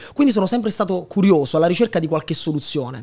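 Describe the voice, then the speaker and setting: Against a quiet background, a man talks at a very fast pace in a high pitch. His intonation is lively. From Italy, Lazio (Sora, Frosinone); Lazio. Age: 20s. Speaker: digital entrepreneur and content creator; content creator. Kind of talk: casual interview chat. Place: studio. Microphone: studio mic.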